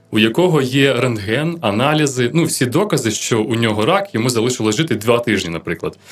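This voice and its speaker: A man speaks in a normal speaking voice with lively intonation. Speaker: radio host. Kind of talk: radio Q&A programme. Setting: radio studio.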